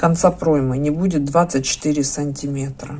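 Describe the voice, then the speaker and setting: A woman's very deep, low voice at a moderate pace over noticeable background noise. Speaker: knitting instructor. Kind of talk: tutorial. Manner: casual, thinking aloud.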